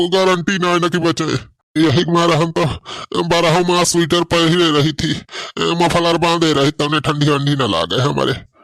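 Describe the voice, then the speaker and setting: Putting on a cartoonish character voice, a man talks at a high pitch with fairly even intonation. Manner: folksy, complaining.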